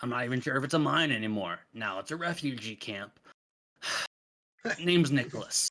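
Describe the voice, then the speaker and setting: A man puts on a raspy character voice at a medium pitch. He talks at a fairly quick pace but leaves long, frequent pauses. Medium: actual play. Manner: gruff, blunt.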